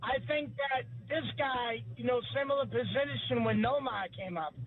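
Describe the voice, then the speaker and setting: This is a man with a Boston accent. He speaks at a moderate pace. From New England (Salem, Massachusetts). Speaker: caller. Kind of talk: sports talk radio call.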